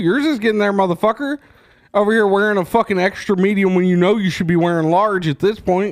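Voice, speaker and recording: Loud and very fast, a man talks in a high-pitched voice. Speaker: podcast host. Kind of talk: casual chat, profane banter. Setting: studio, podcast recording. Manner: loud, animated.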